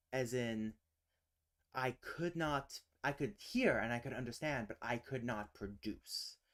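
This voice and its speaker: A man's medium-pitched voice with ordinary pitch variation, on a very clean recording with a silent background. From United States. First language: British Sign Language. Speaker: linguistics livestreamer. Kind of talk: casual livestream chat. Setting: live stream.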